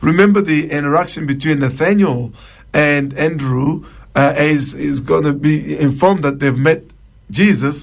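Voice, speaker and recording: With an African accent, a man speaks at a moderate pace. His pitch is fairly high with ordinary pitch variation. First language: Chiluba. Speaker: pastor. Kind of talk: radio Bible teaching and Q&A.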